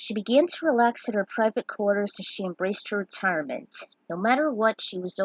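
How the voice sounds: This natural reading voice carries ordinary pitch variation.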